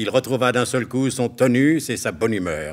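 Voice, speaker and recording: With vocal fry and a pompous, playful tone, a man talks at a moderate pace. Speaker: announcer narrator of radio drama. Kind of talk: radio drama narration, mock-solemn announcer. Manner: pompous, tongue-in-cheek, brisk and playful.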